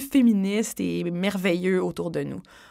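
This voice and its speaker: This woman is captured on a very clean recording against total silence. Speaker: podcast host. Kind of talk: casual chat.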